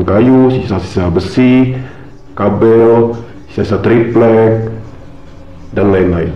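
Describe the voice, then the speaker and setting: Very slow speech from a man at medium pitch, ordinary pitch variation, and music in the background. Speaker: horror story narrator. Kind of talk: horror story narration, first-person retelling of a personal ghost experience. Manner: conversational, casual, colloquial.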